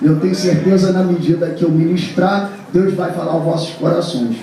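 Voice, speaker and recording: The speech moves at a moderate pace amid noticeable background noise and audible room echo. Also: man. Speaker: pastor. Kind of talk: sermon. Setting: church.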